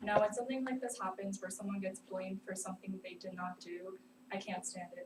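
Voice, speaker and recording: A woman of medium pitch with a non-native accent. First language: not English. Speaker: student. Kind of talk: class speech. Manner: hesitant, many fillers.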